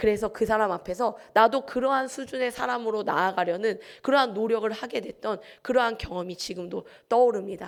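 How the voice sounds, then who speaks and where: The recording is very clean, with a silent background. A woman talks at a fairly quick pace with ordinary pitch variation. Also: fairly high pitch for a woman. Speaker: pastor. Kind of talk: sermon. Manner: fast.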